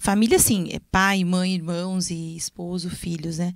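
Medium-pitched woman at a moderate pace, monotone and flat, in a dry sound with no echo and a quiet background. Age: 40s. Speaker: guest. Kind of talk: casual chat. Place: studio. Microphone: handheld.

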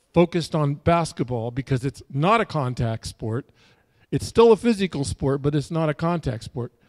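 Moderate-paced male speech over a quiet backdrop. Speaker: pastor. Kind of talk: sermon. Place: church. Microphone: handheld.

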